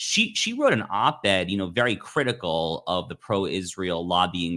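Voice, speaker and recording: A man's very deep, low voice with a bright, sharp tone, on a very clean recording with a silent background. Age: 30s. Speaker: political commentator and columnist. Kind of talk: interview.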